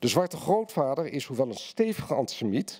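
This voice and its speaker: A man's medium-pitched voice at a moderate pace, with very wide pitch swings, against a quiet background. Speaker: essayist and journalist; journalist. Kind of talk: lecture reading and panel discussion. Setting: stage with audience. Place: hall. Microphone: podium.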